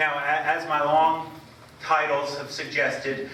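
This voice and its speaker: Noticeable background noise and audible room echo around a man's fairly high voice at a moderate pace. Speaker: college presidential candidate. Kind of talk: campus presentation. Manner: loud.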